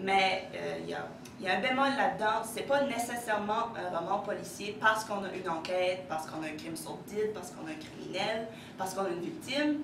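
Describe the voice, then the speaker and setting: A woman at medium pitch with a slight Acadian accent, a fairly quick pace, lively intonation and big swings in loudness, amid audible room echo and noticeable background noise. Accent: slight northern New Brunswick Acadian French. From northern New Brunswick, Acadia. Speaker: education student presenting a book. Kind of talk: lecture. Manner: fast.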